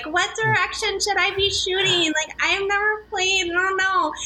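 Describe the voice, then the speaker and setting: Over light background noise, a put-on character voice with an extremely high pitch keeps a monotone, flat intonation at a moderate pace. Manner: naive, hustling.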